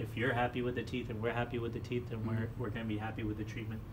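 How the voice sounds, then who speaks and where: The voice has monotone, flat intonation. Noticeable background noise runs behind it. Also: man. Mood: calm, reassuring. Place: office.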